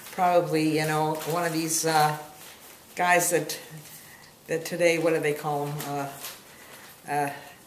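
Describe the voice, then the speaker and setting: With an American accent, a woman speaks at a very deep, low pitch in a monotone, flat intonation, at a fairly slow pace with long, frequent pauses, amid noticeable background noise and audible room echo. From Massachusetts, Boston area. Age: 70s. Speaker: interviewee. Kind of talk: casual family interview. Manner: halting.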